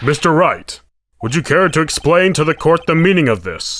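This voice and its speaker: The speaker uses a put-on character voice at a moderate pace. The recording is very clean, with a silent background. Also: man, high pitch for a man. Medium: fan dub. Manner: formal, hesitant.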